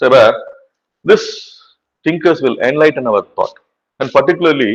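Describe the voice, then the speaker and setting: Speaking with a Tamil accent, this man talks. His pace is fairly quick. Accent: Tamil-accented Indian English. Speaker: teacher. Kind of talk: lecture. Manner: repetitive filler 'right'.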